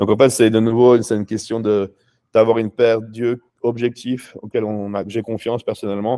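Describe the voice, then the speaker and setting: Recorded dry and close with no echo, a man speaks in a flat monotone with a dark, mellow tone and a fairly low pitch. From France and Switzerland (Paris, then Switzerland 10-25). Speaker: professional bodybuilder. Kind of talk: interview.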